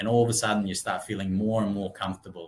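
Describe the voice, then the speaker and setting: A man's fairly low, somewhat breathy voice, very fast and monotone with flat intonation. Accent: Russian. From Russia. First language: Russian. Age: 30s. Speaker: real estate branch manager. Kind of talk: interview.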